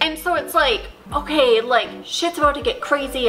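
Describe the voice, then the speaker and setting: Against faint music in the background, a woman speaks at a moderate pace with lively intonation. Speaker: book reviewer. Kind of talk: casual talk to camera. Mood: exasperated about disappointing book. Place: home room.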